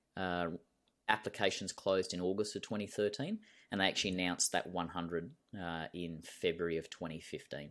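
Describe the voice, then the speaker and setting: Here a man talks fairly quickly in a very deep, low pitch with an Australian accent. His intonation stays fairly even. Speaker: cave diver and former soldier. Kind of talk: interview. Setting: video call.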